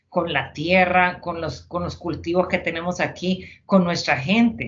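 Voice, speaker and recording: A woman with a Honduran accent speaks fairly slowly at a fairly low pitch with ordinary pitch variation. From Honduras. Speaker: retired army officer. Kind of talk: interview. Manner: halting.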